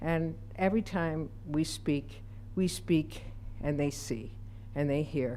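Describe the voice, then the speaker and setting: With an American accent, a woman speaks at a very slow pace with long, frequent pauses, a very deep, low pitch, vocal fry, a dark, mellow tone, very even loudness and lively intonation, with audible room echo. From Utica, New York. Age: 70s. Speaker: public commenter. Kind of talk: public comment. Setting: city council meeting.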